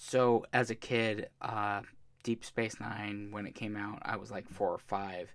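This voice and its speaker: With an American accent, a man talks fairly slowly in a fairly low pitch and a monotone, flat intonation. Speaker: podcast host. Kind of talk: casual chat.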